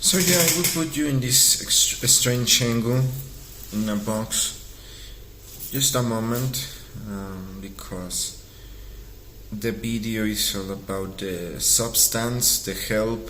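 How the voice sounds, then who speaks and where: Amid audible room echo, a man speaks very slowly at a medium pitch, with ordinary pitch variation and long, frequent pauses. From Mexico. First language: Spanish. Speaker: artist and vlogger. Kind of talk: casual vlog monologue. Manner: halting, with fillers.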